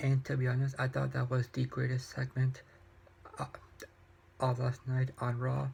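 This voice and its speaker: A soft-spoken, somewhat breathy man at a medium pitch, flat and monotone at a moderate pace. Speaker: YouTuber reviewing wrestling and books. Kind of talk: casual vlog review. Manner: soft-spoken, talking quietly; halting, many repetitions and fillers.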